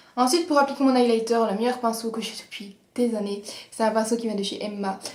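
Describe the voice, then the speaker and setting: A woman's fairly high-pitched voice at a very fast pace, with noticeable background noise. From Belgium. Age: 20s. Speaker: beauty vlogger. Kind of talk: casual talk to camera.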